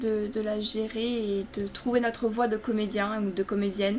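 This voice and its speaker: A woman speaks at a fairly slow pace. Her fairly high voice stays monotone and flat. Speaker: theatre student vlogger. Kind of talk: casual vlog recap. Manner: halting, many fillers and repetitions.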